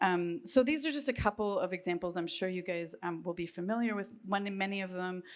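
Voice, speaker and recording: A woman speaks at a medium pitch and a fairly quick pace, with ordinary pitch variation and hardly any pauses. The recording is very clean, with a silent background. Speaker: panel presenter on art and ecology. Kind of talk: conference presentation. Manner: fast; hesitant, many filler ums.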